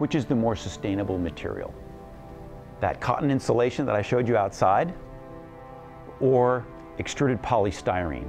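With clear music in the background, a man talks at a moderate pace, leaving long, frequent pauses. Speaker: interviewee. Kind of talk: interview answer. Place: home room. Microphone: lapel.

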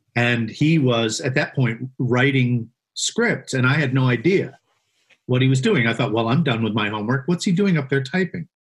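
Speaking at a moderate pace with a medium pitch and ordinary pitch variation, a man with an American accent sounds somewhat breathy and keeps his loudness very even. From Vermont, then California from early teens. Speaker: screenwriter. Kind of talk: casual interview.

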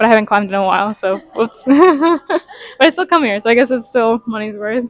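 A woman at a moderate pace, dry sound with no echo and a quiet background. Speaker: vlogger. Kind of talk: casual vlog chat. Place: gym. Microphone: lapel.

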